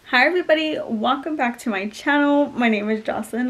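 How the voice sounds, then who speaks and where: Noticeable background noise runs under a woman talking at a fairly quick pace with ordinary pitch variation. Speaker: lifestyle vlogger. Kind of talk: casual vlog. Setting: at home in front of couch. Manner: fast; animated.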